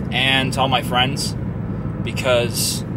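Over loud background noise, a man talks at a very slow pace. The sound is dry, with no echo. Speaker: YouTube vlogger. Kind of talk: casual vlog monologue. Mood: reflective, somewhat somber. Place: car. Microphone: phone near.

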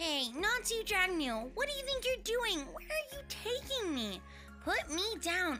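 A female-sounding voice puts on a character voice at an extremely high pitch and a fairly slow pace, with clear music in the background. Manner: indignant, protesting.

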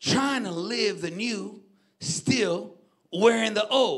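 A raised, projected voice rings out with a bright, sharp tone. The intonation is lively and the background is quiet. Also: man. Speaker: preacher. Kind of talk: sermon. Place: stage. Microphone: handheld.

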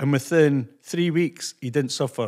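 On a very clean recording with a silent background, a man with a Scottish accent speaks at a moderate pace and medium pitch.

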